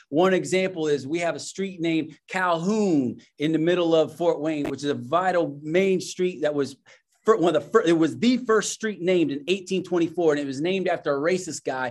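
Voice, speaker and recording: Speaking with a US Midwestern accent, a man has a high pitch and ordinary pitch variation. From Indiana, US Midwest. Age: 40s. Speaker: racial justice worker and minister. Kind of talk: casual interview chat. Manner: halting, many repeated words.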